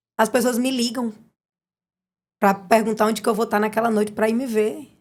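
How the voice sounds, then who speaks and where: A woman's animated, fairly high voice at a fairly quick pace, on a very clean recording with a silent background. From Brazil, Piauí (Inhuma). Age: 30s. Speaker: singer. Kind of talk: casual chat.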